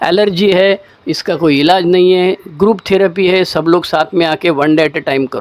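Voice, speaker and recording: This man's voice sits high in pitch and moves with a fairly even intonation. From Maharashtra, India. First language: Marathi (speaking Hindi). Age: 60s. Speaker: recovering alcoholic sharing story. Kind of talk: testimony. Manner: casual, colloquial.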